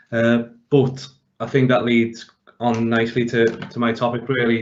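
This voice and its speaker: A man with a Liverpool accent speaks in a flat, monotone delivery. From Liverpool, England. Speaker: pensions professional. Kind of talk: webinar presentation. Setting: working from home, online webinar.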